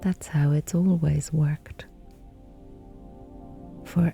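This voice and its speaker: With music in the background, a woman speaks very slowly in a gentle, calm tone, her fairly low voice flat and monotone. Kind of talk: sleep story, gentle guided reassurance for bedtime. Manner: gentle, calm, slow, soothing.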